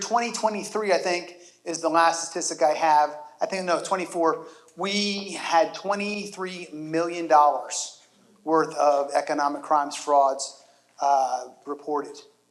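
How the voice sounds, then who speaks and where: A loud man speaks at a fairly slow pace in a voice that sits high for a man. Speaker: deputy sheriff. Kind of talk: community seminar talk. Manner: conversational.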